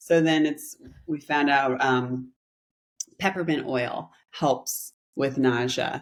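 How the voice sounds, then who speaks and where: A woman's very deep, low voice at a very slow pace, with long, frequent pauses and fairly even intonation. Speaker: spiritual teacher and podcast co-host. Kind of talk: casual chat. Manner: calm.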